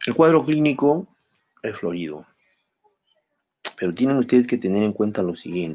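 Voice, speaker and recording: A man's voice with very wide pitch swings and long, frequent pauses. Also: fairly low pitch for a man, moderate pace. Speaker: medical professor. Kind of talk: lecture.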